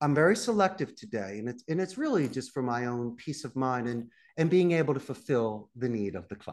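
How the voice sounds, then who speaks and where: Talking at a fairly quick pace, a man in a Philadelphia accent uses a medium pitch and lively intonation. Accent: Philadelphia American. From Northeast Philadelphia. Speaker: call center CEO. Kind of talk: podcast interview. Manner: animated.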